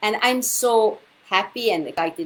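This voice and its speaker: A woman speaks in an Italian accent. Her pitch variation is ordinary. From Italy. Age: 50s. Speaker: women's health coach and author. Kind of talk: live video talk. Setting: livestream from computer. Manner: halting, many fillers.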